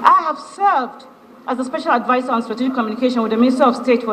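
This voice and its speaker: Very fast speech in a Nigerian accent, with noticeable background noise. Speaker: ministerial nominee, senior public official. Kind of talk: formal prepared statement at a confirmation hearing. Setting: legislative chamber screening session. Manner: formal; occasionally halting, with restarts.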